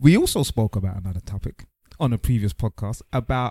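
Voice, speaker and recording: A man's dark, mellow, somewhat breathy voice with lively intonation, a dry, close sound with no echo, and a very clean recording with a silent background. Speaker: podcast co-host. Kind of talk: casual chat.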